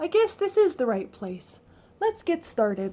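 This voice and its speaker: Squeaky and extremely high, a woman's put-on character voice swings very widely in pitch at a moderate pace. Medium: read story.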